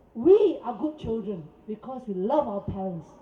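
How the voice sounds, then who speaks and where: An animated woman's voice with very wide pitch swings over noticeable background noise. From Singapore. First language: Cantonese. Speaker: protest speaker. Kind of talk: press conference. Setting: press conference.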